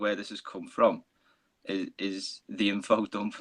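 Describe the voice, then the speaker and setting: A strong Liverpool accent at a fairly slow pace, in a dry, close sound with no echo. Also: man. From northern England, Liverpool. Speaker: fantasy author. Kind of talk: casual chat.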